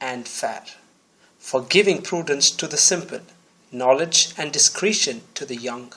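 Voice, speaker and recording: A man with an unremarkable speaking voice talks at a fairly slow pace. His pitch is fairly high and his intonation lively. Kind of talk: Bible reading.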